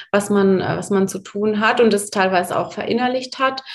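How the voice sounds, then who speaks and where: An unremarkable speaking voice from a woman, medium in pitch, with ordinary pitch variation and a fairly slow pace. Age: 30s. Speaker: mother, course participant. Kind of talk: interview.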